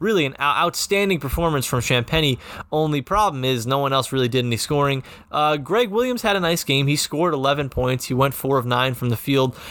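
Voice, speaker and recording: A man speaks at a medium pitch and a moderate pace, with ordinary pitch variation. His is an ordinary speaking voice. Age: 20s. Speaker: sports podcast host. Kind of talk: sports podcast recap and interview.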